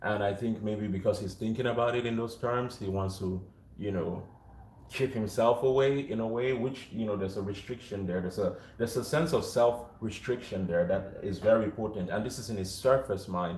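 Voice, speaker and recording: A man speaks fairly quickly with a fairly low pitch and ordinary pitch variation. The room echo is audible. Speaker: tarot reader. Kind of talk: tarot reading. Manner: projecting. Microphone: no mic on.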